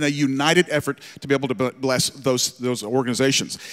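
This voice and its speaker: A man's rather brisk speech over a quiet background. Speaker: church pastor. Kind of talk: sermon introduction announcement. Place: church. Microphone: handheld.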